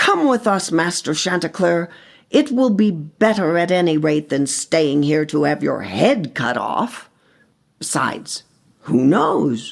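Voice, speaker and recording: A raspy, female-sounding put-on character voice at a middle pitch and fairly slow pace, on a very clean recording with a silent background. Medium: read story.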